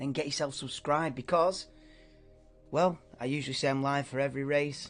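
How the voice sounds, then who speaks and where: Against a quiet background, a man with a British accent talks at a very fast pace in a fairly high pitch. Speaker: F1 watchalong streamer. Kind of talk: live reaction commentary. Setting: live stream. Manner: casual, halting.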